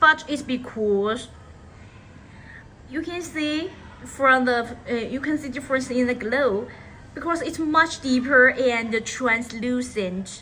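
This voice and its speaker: A raised, projected voice from a woman with a non-native accent, high pitch and ordinary pitch variation, at a very slow pace with long, frequent pauses, over noticeable background noise. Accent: non-native English, by own account. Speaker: live-stream leather bag seller. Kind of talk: live sales stream. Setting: live stream studio. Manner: halting, frequent self-corrections.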